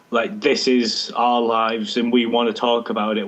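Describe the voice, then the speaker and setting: Against noticeable background noise, a man with an English accent talks at a moderate pace and medium pitch. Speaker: head of social media on a football chat show. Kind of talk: casual chat. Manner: monotone.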